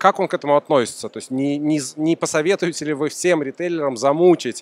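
Delivered at a fairly quick pace with ordinary pitch variation, the speech has a dry, close sound with no echo. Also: man.

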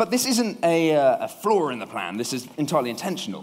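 A man speaks over light background noise. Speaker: presenter. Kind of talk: lecture. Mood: light, humorous. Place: stage. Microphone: headset.

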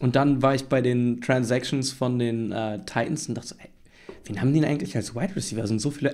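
A man talks very fast with a quiet background behind him. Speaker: sports YouTuber. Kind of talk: casual commentary. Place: home room. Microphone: studio mic.

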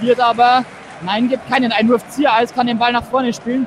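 A man's extremely high-pitched voice in a dry sound with no echo, with noticeable background noise. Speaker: fan radio commentator. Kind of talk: live sports commentary. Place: stadium.

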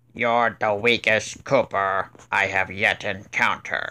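Here a man talks in a put-on character voice. His pitch is fairly low and his pace fairly slow. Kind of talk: voice audition. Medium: voice reel. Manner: menacing, taunting.

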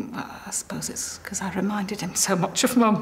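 A woman whispering at a moderate pace. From England. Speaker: actress. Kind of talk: drama scene acting. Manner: hesitant, emotional. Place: church.

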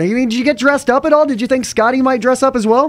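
Talking at a very fast pace, a man uses an extremely high pitch. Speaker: radio show host. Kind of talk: radio show banter. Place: studio.

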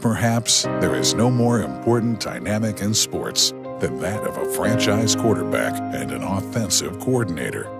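Over loud music in the background, a man speaks at a moderate pace with hardly any pauses, the sound dry with no echo. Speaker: voice-over narrator. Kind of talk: sports documentary narration. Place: booth. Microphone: studio mic.

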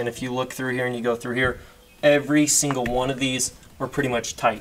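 The voice holds a monotone, flat intonation over light background noise. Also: man. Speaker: diesel truck vlogger. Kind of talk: casual vlog chat. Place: garage. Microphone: phone near.

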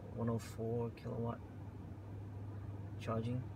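Noticeable background noise sits behind a man's voice. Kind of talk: casual vlog chat. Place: car.

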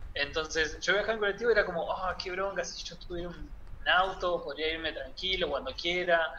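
A man talks at a fairly quick pace with big swings in loudness. There is light background noise. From Buenos Aires province, Argentina. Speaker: 3D character artist; guest. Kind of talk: interview. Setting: at home. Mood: relaxed, reminiscing. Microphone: webcam.

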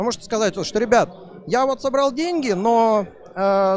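A high-pitched man with ordinary pitch variation, in a dry sound with no echo and light background noise. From Vladivostok, Russia; Russia. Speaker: esports organizer and Warcraft player; interviewer. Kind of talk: casual interview chat. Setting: live stream at event. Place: hall. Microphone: handheld.

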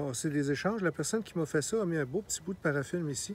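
With a Quebec accent, a man speaks at a very fast pace and a fairly high pitch. His pitch variation is ordinary, and the sound is dry with no echo. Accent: Québécois French. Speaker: gardener. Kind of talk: tutorial. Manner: casual, hesitant. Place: garden. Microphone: phone near.

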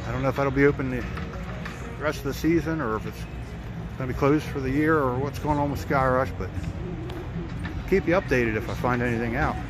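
A man talks at a very fast pace in a dry recording with no echo, clear music playing in the background. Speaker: vlogger. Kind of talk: casual vlog chat. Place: street. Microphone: phone near.

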